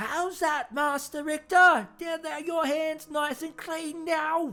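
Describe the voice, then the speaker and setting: A high-pitched, put-on character voice is heard. The delivery is fairly slow. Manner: ominous.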